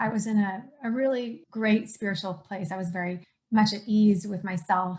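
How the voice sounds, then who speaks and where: With a medium pitch and a somewhat breathy tone, this woman keeps her intonation fairly even. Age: 40s. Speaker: podcast host and coach. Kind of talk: casual chat.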